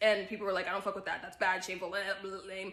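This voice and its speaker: Bright and sharp in tone, a woman with an American accent speaks at a medium pitch. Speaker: self-development content creator. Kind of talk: casual talk to camera, social commentary.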